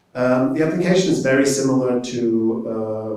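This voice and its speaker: The voice has a dark, mellow tone and a German accent, with audible room echo. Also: man. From Germany. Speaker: professor. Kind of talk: informational presentation. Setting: event presentation to prospective students.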